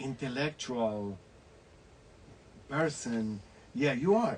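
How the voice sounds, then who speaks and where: Over noticeable background noise, a man with a Spanish accent talks at a medium pitch. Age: 60s. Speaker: actor and online show host. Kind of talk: casual interview.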